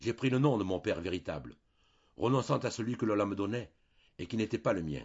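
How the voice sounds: The natural reading voice shows ordinary variation in pitch.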